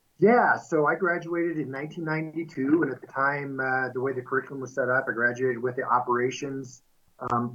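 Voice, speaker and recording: Speaking at a moderate pace with a Midwestern American accent, a man keeps a medium pitch and fairly even intonation. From US Midwest, central Kansas. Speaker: milling company executive. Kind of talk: interview.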